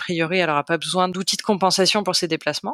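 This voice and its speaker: A woman's fairly low-pitched voice, bright and sharp in tone, recorded dry and close with no echo. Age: 30s. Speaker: volunteer guide dog foster family. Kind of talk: interview. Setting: podcast recording.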